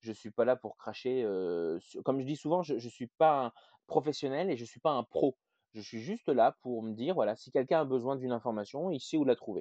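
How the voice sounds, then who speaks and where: With lively intonation and big swings in loudness, a man talks at a fairly quick pace in a medium pitch. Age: 30s. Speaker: hospital care assistant and paternity leave campaigner. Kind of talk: interview. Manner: halting.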